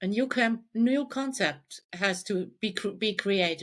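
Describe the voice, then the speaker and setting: On a very clean recording with a silent background, a woman with a German accent speaks at a fairly high pitch with lively intonation. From Germany. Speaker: life coach. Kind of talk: podcast interview.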